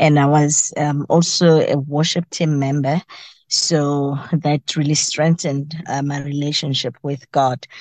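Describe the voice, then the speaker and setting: This woman's voice is very deep and low. She speaks at a very slow pace. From South Africa, Mpumalanga. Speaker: teacher and part-time radio host. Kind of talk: interview.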